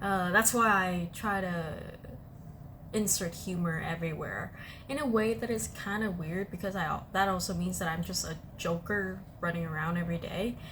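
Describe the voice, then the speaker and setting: At a moderate pace, the voice moves through ordinary pitch variation over audible room echo. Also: woman, medium pitch for a woman. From Vietnam. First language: Vietnamese. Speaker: podcast host. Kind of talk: casual chat. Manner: hesitant, many fillers.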